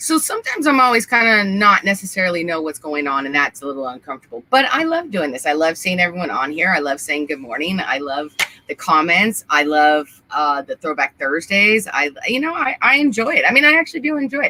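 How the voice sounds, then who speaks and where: The speech moves at a fairly quick pace with hardly any pauses, and noticeable background noise is present. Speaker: trucking talk show co-host. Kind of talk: casual chat. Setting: live stream. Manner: halting.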